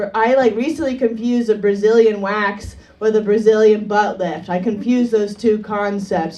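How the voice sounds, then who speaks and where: Audible room echo carries the fairly high voice of a woman as she talks. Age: 30s. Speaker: comedian. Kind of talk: stand-up. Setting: stage with audience.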